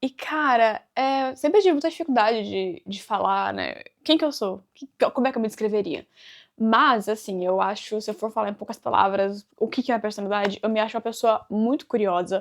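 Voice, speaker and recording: A fairly high-pitched woman, animated in tone, with lively intonation and a fairly quick pace. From Brazil, interior of São Paulo state (Avaré). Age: 20s. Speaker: vlogger. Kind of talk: casual Q&A talk to camera. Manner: chatty, animated.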